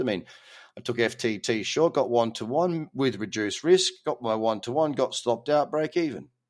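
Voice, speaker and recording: The speaker has an Australian accent, lively intonation and an animated tone at a fairly quick pace. The recording is very clean, with a silent background. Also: man. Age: 30s. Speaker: crypto trading podcast host. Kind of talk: casual monologue.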